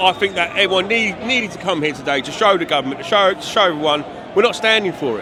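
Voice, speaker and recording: A man's raised, projected voice, high-pitched, with an English accent, at a very fast pace, amid audible room echo and noticeable background noise. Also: ordinary pitch variation. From England. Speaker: rally attendee, hoodie seller. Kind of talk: street interview. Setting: outdoors at a rally. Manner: halting.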